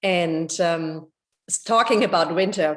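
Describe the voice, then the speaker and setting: Over a silent background in a very clean recording, a woman talks at a fairly slow pace with a fairly low pitch and fairly even intonation. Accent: European. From Germany. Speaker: homeowner. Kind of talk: testimony. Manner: halting, many fillers.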